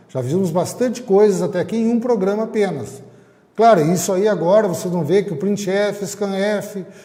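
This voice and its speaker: A man's dark, mellow voice with audible room echo. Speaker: teacher. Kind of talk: lecture. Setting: recorded online class.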